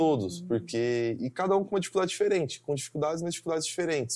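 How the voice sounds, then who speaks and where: A man with a fairly high pitch and lively intonation speaks on a very clean recording with a silent background. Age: 20s. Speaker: engineering student. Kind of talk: interview.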